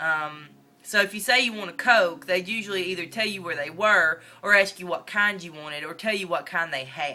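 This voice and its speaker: A woman with a northern Mississippi accent speaks at a fairly quick pace in a medium pitch, with ordinary pitch variation and big swings in loudness. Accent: Southern US, northern Mississippi. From northeast Mississippi. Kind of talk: casual talk to camera. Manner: rambling, casual.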